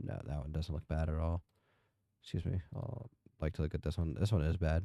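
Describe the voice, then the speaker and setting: Soft-spoken and calm in tone, a man talks at a fairly quick pace with very deep, low pitch and ordinary pitch variation. His dark, mellow tone comes through a dry, close sound with no echo. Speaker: gaming youtuber. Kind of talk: gameplay commentary. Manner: calm, sleepy.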